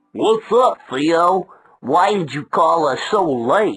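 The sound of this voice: A cartoonish character voice at middle pitch, delivered at a very slow pace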